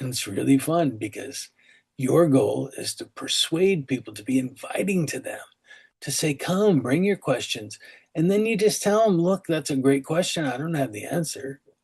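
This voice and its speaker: A man's somewhat breathy, fairly high-pitched voice, with lively intonation at a moderate pace. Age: 60s. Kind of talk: sermon. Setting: online call. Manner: casual, conversational.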